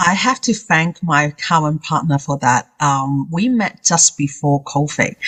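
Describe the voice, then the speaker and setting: The speaker, in a Hong Kong accent, uses lively intonation at a fairly slow pace with hardly any pauses. The sound is dry and close with no echo, and the loudness is very even. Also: woman, very deep, low pitch for a woman. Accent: Hong Kong accent, non-native. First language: Cantonese. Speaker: confidence coach. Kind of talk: interview.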